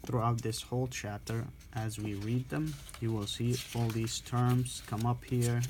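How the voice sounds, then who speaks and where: A man speaks in a somewhat breathy voice of medium pitch. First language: not English. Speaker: respiratory therapy student tutor. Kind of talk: reading aloud and explaining a textbook. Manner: halting, with self-corrections.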